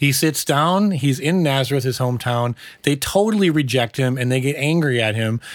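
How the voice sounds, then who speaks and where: At a moderate pace, a man with a fairly high pitch speaks with ordinary pitch variation and very even loudness, in a very clean recording with a silent background. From US upper Midwest. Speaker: pastor. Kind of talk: casual chat.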